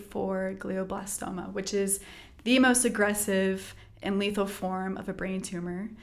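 Someone with an American accent speaks at a fairly slow pace. Audible room echo fills the recording. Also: woman. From Texas. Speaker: physical therapist. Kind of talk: interview.

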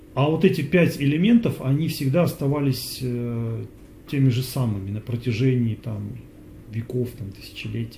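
A man with a dark, mellow tone talks at a moderate speed, his voice somewhat breathy and his pitch varying in an ordinary way. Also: medium pitch for a man. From Russia. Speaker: yoga teacher. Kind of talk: Q&A talk. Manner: halting, with many fillers.

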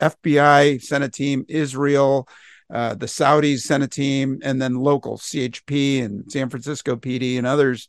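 Against a quiet background, a man speaks at a fairly high pitch in a monotone, flat intonation, the sound dry and close with no echo. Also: moderate pace. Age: 60s. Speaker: retired police officer, podcast host. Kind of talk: panel discussion.

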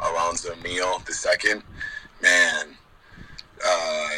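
This man talks in an American accent. There is noticeable noise in the background. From Utah, US. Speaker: bare-knuckle boxer. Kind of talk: interview. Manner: halting, many filler words.

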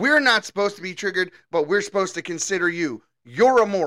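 Animated and lively in intonation, a man with high pitch uses a raised, projected voice and a bright, sharp tone, recorded very cleanly against a silent background in a dry, close sound with no echo. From Baltimore. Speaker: political podcast host. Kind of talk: opinion commentary monologue.

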